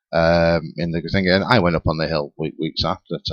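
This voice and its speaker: In a Lancashire accent, a man speaks at a fairly quick pace with a very deep, low pitch. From northern England, Rossendale, Lancashire. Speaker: paranormal talk show panelist. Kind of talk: casual chat. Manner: halting.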